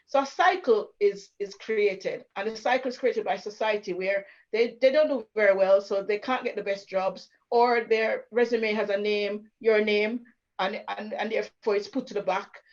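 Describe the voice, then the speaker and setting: Her fairly high-pitched voice moves at a moderate pace as this woman speaks with ordinary pitch variation. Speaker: churchgoer speaking about racism. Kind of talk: panel conversation. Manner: loud; animated.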